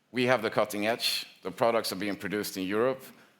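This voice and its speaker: On a very clean recording with a silent background, a man of medium pitch talks with fairly even intonation. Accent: Swedish. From Sweden. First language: Swedish. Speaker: industry association representative. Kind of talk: conference panel talk. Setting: conference with audience. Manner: hesitant, with fillers and repetitions.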